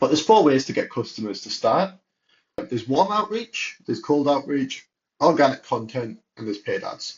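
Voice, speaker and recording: A man's somewhat breathy, fairly high voice with a British accent, very wide pitch swings and a moderate pace. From UK. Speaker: entrepreneur. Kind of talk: tutorial. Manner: casual.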